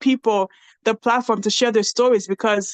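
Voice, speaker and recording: A woman speaks with a Nigerian accent and fairly even intonation. The sound is dry and close with no echo, over a quiet background. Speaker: podcast host and reality TV cast member. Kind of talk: casual interview chat.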